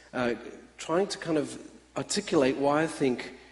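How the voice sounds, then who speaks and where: A man speaks at a moderate pace in a fairly high pitch. Noticeable background noise runs underneath. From Australia. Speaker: missional church speaker. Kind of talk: conference talk. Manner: hesitant fillers, many uhs.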